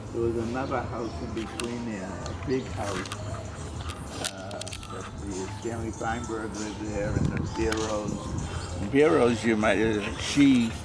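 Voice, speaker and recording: A man with an American accent speaks at a fairly slow pace and fairly even intonation, with audible room echo and music in the background. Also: fairly low pitch for a man. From US Northeast, Boston. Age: 80s+. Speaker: family elder giving tour. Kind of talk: casual chat. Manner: halting.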